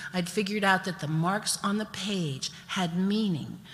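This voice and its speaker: A woman with an American accent speaks in a somewhat breathy, fairly low voice at a moderate pace with fairly even intonation. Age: 70s. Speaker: storyteller. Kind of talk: storytelling performance.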